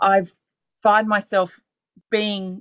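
Fairly slow speech in an Australian accent. The intonation stays monotone and flat. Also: woman. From Australia, western Sydney. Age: 40s. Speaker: podcast host. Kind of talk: casual interview chat.

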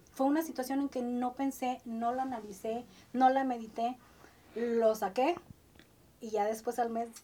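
With big swings in loudness, a woman speaks at a high pitch in a dark, mellow tone, keeping a fairly slow pace broken by long, frequent pauses. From Ciudad Madero, Tamaulipas, Mexico. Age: 50s. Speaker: entertainment journalist. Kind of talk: interview. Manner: animated.

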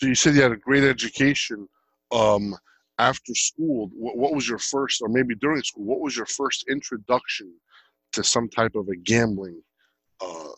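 A man's plain, everyday voice at medium pitch, with ordinary pitch variation and a moderate pace, dry and close with no echo against a quiet background. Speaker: podcast host. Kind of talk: casual interview.

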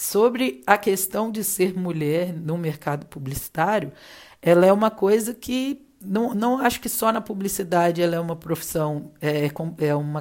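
In an ordinary speaking voice, a woman talks at a fairly slow pace and medium pitch with lively intonation. The recording is very clean, with a silent background. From Minas Gerais, Juiz de Fora (born in Rio de Janeiro). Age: 30s. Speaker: advertising professional. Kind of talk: casual interview chat.

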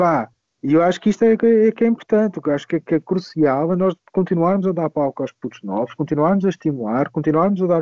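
The voice has a dark, mellow tone and ordinary pitch variation, delivered at a very fast pace. The sound is dry and close with no echo, over a quiet background. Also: man. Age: 30s. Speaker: DJ and music producer. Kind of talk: casual chat.

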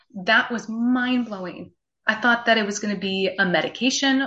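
A woman's fairly high-pitched voice carries ordinary pitch variation. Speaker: nurse turned health coach. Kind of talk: interview. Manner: animated.

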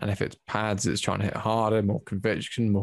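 Talking at a fairly quick pace, a man with a fairly low pitch has an English accent. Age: 20s. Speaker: amateur MMA fighter. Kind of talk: casual chat.

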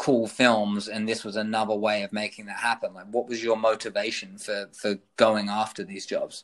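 A man with a British accent and fairly even intonation. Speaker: podcast host. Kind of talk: interview. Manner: hesitant, many fillers.

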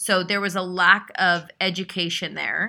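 On a very clean recording with a silent background, a woman speaks at a medium pitch. Her tone is bright and sharp, and her pace moderate. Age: 40s. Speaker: podcast host. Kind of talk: casual chat. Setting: on vacation in Hawaii.

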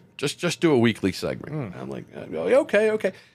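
With an American accent, a man speaks at a moderate pace with vocal fry and lively intonation on a very clean recording with a silent background. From Maryland, US. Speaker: internet radio DJ. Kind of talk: interview. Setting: studio.

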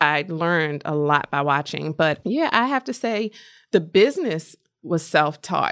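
A woman speaks in an unremarkable speaking voice with an American accent, fairly low in pitch, at a fairly slow pace with lively intonation, on a very clean recording with a silent background. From US Mid-Atlantic, Baltimore area, Maryland. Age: 40s. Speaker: makeup artist and lash educator. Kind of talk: casual interview.

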